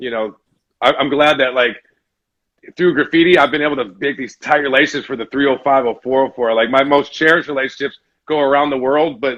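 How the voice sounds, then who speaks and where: Speaking in a plain, everyday voice with an American accent, a man talks fairly quickly at a medium pitch with fairly even intonation. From US South, Atlanta. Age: 40s. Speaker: graffiti artist. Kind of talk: casual interview chat. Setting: video call.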